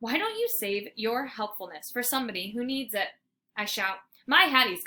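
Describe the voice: Plain reading aloud with ordinary pitch variation against a quiet background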